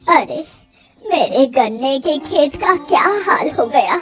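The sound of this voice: Using a cartoonish character voice, a woman speaks at a high pitch and a fairly slow pace, with very even loudness and ordinary pitch variation.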